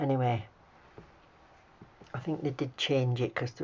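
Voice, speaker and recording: Somewhat breathy speech with an English accent comes at a moderate pace. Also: woman. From UK. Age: 60s. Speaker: nail art hobbyist YouTuber. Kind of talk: tutorial; casual chat. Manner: casual, chatty.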